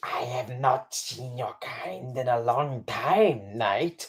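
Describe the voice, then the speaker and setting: A put-on character voice, raspy and low-to-middle in pitch, drags along at a very slow pace. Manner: malicious.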